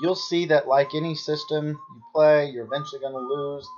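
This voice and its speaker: With music playing underneath, the talk moves at a moderate pace. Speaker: baccarat strategy channel host. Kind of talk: gameplay commentary tutorial.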